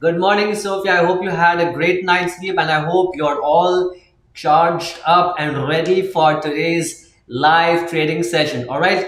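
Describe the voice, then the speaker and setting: A man with a high pitch talks at a moderate pace. Audible room echo and noticeable background noise are present. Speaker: stock market live stream host. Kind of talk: live trading stream chat. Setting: live stream. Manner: many fillers, halting.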